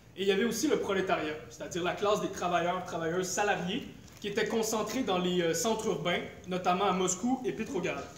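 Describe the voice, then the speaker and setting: Through noticeable background noise and audible room echo, a man with a high-pitched voice speaks at a fairly quick pace with ordinary pitch variation. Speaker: political activist speaker. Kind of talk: lecture.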